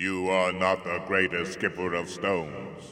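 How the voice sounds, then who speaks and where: A man uses a put-on character voice that is booming and very deep. He speaks fairly slowly in a monotone, flat delivery. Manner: roaring.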